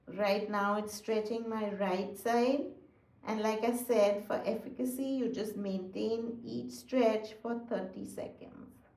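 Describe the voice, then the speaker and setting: A woman speaks very slowly in a calm tone with fairly high pitch and fairly even intonation. Noticeable background noise and audible room echo are present. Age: 60s. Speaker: physical therapist and fitness instructor. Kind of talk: exercise tutorial. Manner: calm, instructive.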